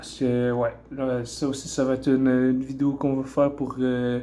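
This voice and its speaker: A man speaks in a Quebec accent, with a fairly high pitch. His tone is dark and mellow, and his pace is fairly slow. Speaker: bodybuilder. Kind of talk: casual talk to camera, fitness vlog. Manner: casual, hesitant.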